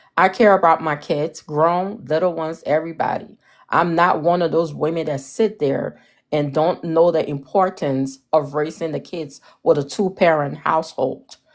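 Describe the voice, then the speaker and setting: Someone with an African accent talks at a moderate pace in an animated tone. The background is quiet. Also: woman, very deep, low pitch for a woman. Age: 40s. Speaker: live-stream panelist. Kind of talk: heated debate.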